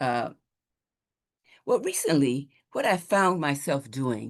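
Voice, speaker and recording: Lively intonation marks this woman's speech at a fairly slow pace. The background is quiet. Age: 80s+. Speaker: minister. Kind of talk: sermon. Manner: halting.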